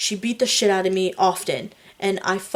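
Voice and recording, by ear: Someone reads aloud in a natural voice, the intonation fairly even throughout.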